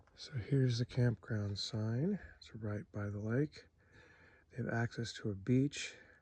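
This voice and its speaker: A soft-spoken man with a medium pitch and a dark, mellow tone talks at a fairly slow pace, sounding somewhat breathy. His pitch variation is ordinary, while his loudness swings widely. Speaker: camping vlogger. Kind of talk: casual walking vlog tour. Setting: outdoors at a campground. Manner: soft-spoken, talking quietly.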